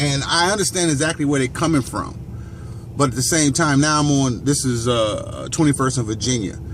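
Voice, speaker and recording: A man with an American accent and a fairly high pitch speaks fairly quickly, with audible room echo and noticeable background noise. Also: ordinary pitch variation. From Gary, Indiana, US Midwest. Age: 40s. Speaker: vlogger. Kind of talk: casual monologue. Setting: outdoors, walking or driving along a street. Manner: halting, many fillers.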